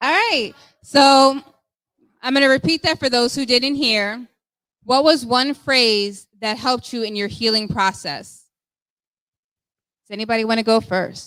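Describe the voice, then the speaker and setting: A loud woman with a high pitch and a bright, sharp tone speaks at a fairly slow pace, with ordinary pitch variation and long, frequent pauses. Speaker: discussion host. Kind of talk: group discussion. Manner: commanding military-style voice.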